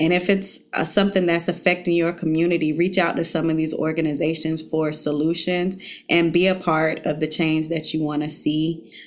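A woman with a Southern US accent and a fairly low voice speaks at a moderate pace in a monotone, flat way with hardly any pauses. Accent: Southern US, says y'all. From South Carolina, Beech Island. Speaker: teacher working in Congress on education policy. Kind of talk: casual interview.

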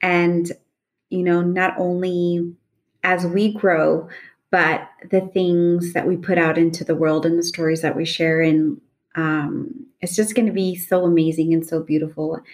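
A woman speaks in an American accent with a normal speaking voice. Her pitch is fairly low and her intonation fairly even. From Los Angeles, California. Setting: video call.

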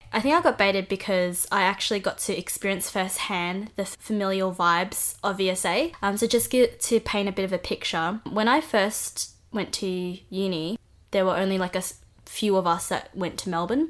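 Speaking in an Australian accent, a woman keeps to a moderate pace. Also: medium pitch for a woman, ordinary pitch variation. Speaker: podcast co-host. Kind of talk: casual chat.

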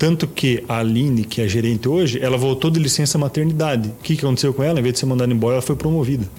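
A man talks at a very fast pace with hardly any pauses. His pitch is medium, and there is noticeable background noise. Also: ordinary pitch variation. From Paraná, Brazil (Toledo). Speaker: real estate agency partner. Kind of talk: interview.

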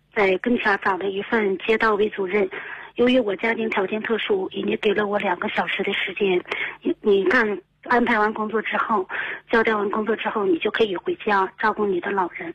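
A woman speaks at a fairly high pitch with ordinary pitch variation. There is noticeable background noise. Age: 30s. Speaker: radio call-in listener. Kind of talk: call-in advice conversation. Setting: phone call. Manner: fast, rapid-fire; halting, many fillers.

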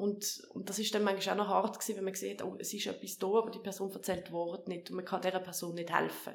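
Noticeable background noise and audible room echo surround a woman with a medium-pitched voice. She speaks very fast, with hardly any pauses and a flat, monotone delivery. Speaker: politician. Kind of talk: interview. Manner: halting.

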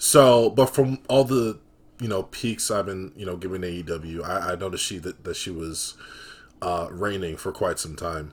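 A somewhat breathy voice at a moderate pace, with big swings in loudness, ordinary pitch variation, and a very clean recording over a silent background. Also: man, fairly low pitch for a man. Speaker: podcast host. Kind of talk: casual chat. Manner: casual, laid-back.

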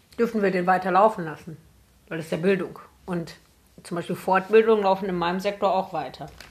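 A woman talks very fast at medium pitch with fairly even intonation. Long pauses break up her speech often. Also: big swings in loudness. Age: 20s. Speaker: podcast co-host. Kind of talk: casual chat.

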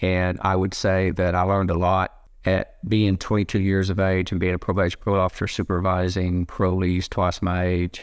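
In a very clean recording with a silent background, a man with an American accent speaks at a moderate pace with hardly any pauses, his very deep, low pitch held in a monotone, flat intonation at very even loudness. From Oklahoma, Garvin County. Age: 60s. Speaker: former corrections director. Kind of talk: interview, conversational storytelling. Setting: in-person recording.

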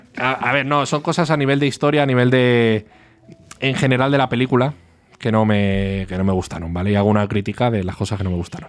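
Over music in the background, a man speaks at a very fast pace with a medium pitch and ordinary pitch variation. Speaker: podcast co-host. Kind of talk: casual chat.

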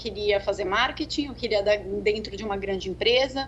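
Noticeable background noise is present throughout. Through it comes a woman's voice. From Brazil, São Paulo. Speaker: tech sales executive. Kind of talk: interview. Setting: video call.

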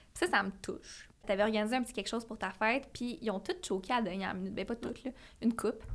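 A woman at a very fast pace, fairly high in pitch, with ordinary pitch variation. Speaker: podcast co-host. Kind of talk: casual chat.

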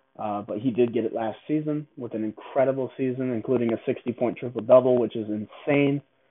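A man with a plain, everyday voice talks at medium pitch and a fairly quick pace. He takes hardly any pauses, and his intonation stays fairly even. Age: 20s. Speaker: basketball podcast host. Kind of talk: casual solo monologue.

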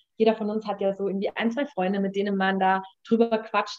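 Her medium-pitched voice is monotone and flat as this woman speaks at a very fast pace. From Munich, Bavaria, Germany. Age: 30s. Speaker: life design coach. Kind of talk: casual interview.

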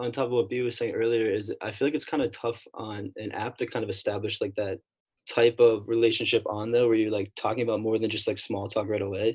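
A man speaks in an ordinary speaking voice. His pitch is medium and his pace fairly quick. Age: 20s. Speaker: college student. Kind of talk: casual chat. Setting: video call.

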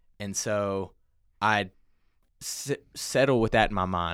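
A man with a fairly low pitch uses an ordinary speaking voice with ordinary pitch variation on a very clean recording with a silent background. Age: 20s. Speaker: former college football player. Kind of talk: testimony.

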